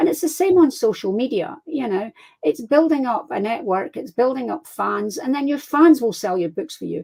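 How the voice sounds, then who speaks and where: High-pitched woman in a Scottish accent, dark, mellow tone, very wide pitch swings. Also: moderate pace. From Scotland. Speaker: crime fiction author. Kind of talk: casual interview chat. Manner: animated.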